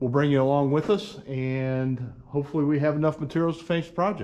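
The speaker is a man, and he moves along fairly quickly. Pitch rises and falls in an ordinary way. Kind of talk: casual vlog chat. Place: workshop. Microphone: camera far.

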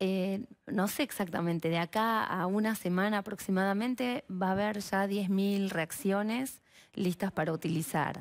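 The speech moves at a fairly slow pace with very even loudness and ordinary pitch variation over a quiet background. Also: woman. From Argentina, Mar del Plata; Argentina. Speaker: biologist and researcher; guest. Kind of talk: TV interview. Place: studio. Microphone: headset.

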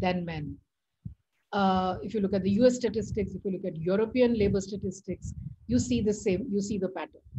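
Her tone is dark and mellow, and a bit breathy. This woman is heard over light background noise. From India. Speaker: economics professor. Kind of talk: lecture. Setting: video call. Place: home room. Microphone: video call.

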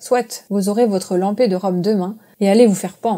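Ordinary pitch variation shapes the delivery. A dark, mellow tone colors the voice. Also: woman. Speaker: audiobook narrator. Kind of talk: reading aloud.

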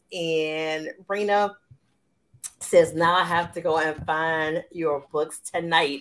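Speaking very slowly, a woman with a fairly low voice keeps her intonation fairly even. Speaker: romance author and show host. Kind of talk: live interview chat. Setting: live video stream. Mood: cheerful, laughing. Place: home room.

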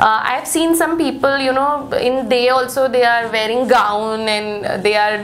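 Light background noise is present. A woman speaks at a fairly slow pace. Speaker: interview guest. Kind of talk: interview answer. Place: studio.

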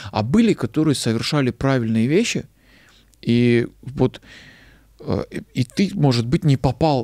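A man's dark, mellow tone with ordinary pitch variation, set against a quiet background. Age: 30s. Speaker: actor, screenwriter and stand-up comedian; actor, stand-up comedian. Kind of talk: casual interview chat. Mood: relaxed, storytelling. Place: studio. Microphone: studio mic.

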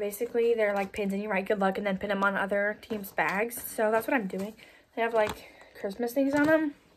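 A woman talks with ordinary pitch variation over light background noise. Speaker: young cheer team member vlogger. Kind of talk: casual vlog chat. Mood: cheerful, upbeat. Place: home room. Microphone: phone near.

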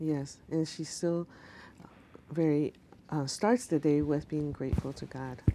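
A woman with a very deep, low pitch speaks with long, frequent pauses. Light background noise can be heard. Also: ordinary pitch variation, moderate pace. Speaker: TV show host. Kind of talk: interview. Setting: studio. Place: studio. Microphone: lapel.

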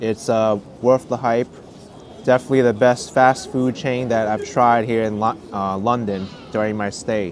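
This man has an American accent, a medium pitch and fairly even intonation. There is noticeable background noise. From New York, US. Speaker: food vlogger. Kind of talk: food review vlog. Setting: outdoors.

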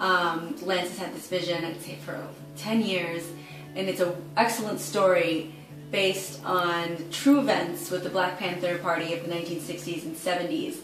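Clear music plays in the background with audible room echo. A woman speaks at a moderate pace with ordinary pitch variation. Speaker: actress. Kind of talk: crowdfunding appeal to camera. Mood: warm, upbeat, smiling. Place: home room.

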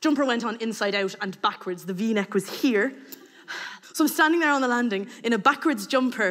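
With an Irish accent, a woman speaks fairly quickly at a fairly high pitch with ordinary pitch variation against a quiet background. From Ireland. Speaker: storyteller. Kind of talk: storytelling. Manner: animated. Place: stage.

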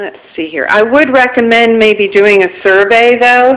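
The speaker is a woman. Her intonation stays fairly even. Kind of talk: casual walkthrough commentary. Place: home room. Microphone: phone near.

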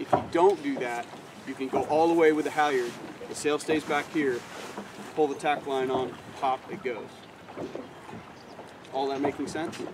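Against noticeable background noise, a man talks at a moderate pace with long, frequent pauses. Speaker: sailing instructor. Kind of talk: outdoor demonstration talk. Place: boat. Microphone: camera far.

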